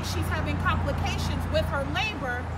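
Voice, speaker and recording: The speech comes at a moderate pace over loud background noise. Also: woman. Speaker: activist spokesperson. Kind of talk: press conference statement. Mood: earnest, critical. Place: street. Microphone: podium.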